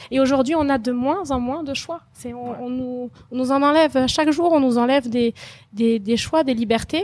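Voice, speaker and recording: A woman speaks at a moderate pace in a high voice, her pitch moving in an ordinary way. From France. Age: 30s. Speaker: e-commerce entrepreneur, former bank employee. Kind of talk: testimony interview. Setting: recorded in Phuket. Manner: hesitant, many fillers.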